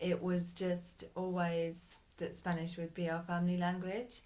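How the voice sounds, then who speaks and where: A woman with a fairly low pitch speaks at a fairly slow pace, and there is audible room echo. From Britain. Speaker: parent. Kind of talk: interview. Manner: hesitant.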